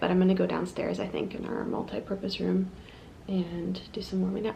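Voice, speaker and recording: A woman speaks in a soft voice. Some room echo can be heard. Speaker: flute player and vlogger. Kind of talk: vlog. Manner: soft-spoken.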